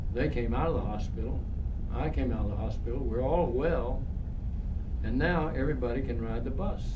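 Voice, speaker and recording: A man at a fairly quick pace and very even loudness, with noticeable background noise. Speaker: storyteller speaking to students. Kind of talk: personal storytelling talk. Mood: warm, reflective, earnest. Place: hall.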